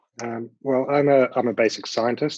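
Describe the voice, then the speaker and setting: At a moderate pace, a man talks with a New Zealand accent. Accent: New Zealand, noticeable. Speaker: biotech founder and CEO. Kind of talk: panel discussion.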